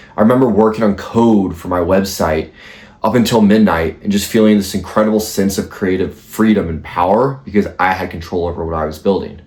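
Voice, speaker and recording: A plain, everyday voice from a man, fairly low in pitch, with ordinary pitch variation and a fairly quick pace. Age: 20s. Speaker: YouTuber. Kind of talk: motivational monologue.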